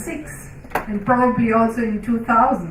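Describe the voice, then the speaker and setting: A woman speaks at a moderate pace with a non-native accent. Noticeable background noise and audible room echo are present. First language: not English. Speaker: researcher. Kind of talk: panel discussion.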